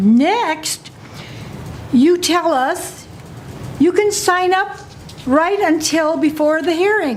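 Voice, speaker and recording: With an American accent, a woman speaks at a very slow pace in an extremely high pitch, her intonation lively and her loudness very even, with long, frequent pauses and noticeable background noise. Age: 80s+. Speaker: resident testifying at public hearing. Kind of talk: public hearing testimony. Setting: public meeting with audience. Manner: reading from written notes.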